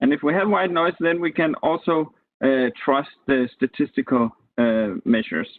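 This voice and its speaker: Using an unremarkable speaking voice, a man speaks at a moderate pace in a fairly high pitch, with lively intonation and very even loudness. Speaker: university lecturer. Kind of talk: lecture. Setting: video call.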